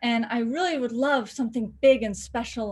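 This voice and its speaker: Speaking with an American accent, a woman uses a fairly high, somewhat breathy voice at a moderate pace. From California, US. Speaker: filmmaker and voice actor. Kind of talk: interview. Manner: animated.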